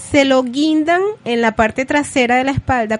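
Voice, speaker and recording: This woman's voice sits at a high pitch. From Venezuela. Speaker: radio host. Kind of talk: radio show.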